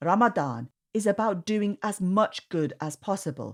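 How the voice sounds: Heard in a very clean recording with a silent background, a woman speaks with lively intonation.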